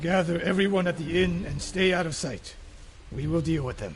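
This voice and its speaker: In a raspy, put-on character voice, a man speaks at a high pitch and a moderate pace. Background noise is clearly audible. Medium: video game. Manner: terse, grave.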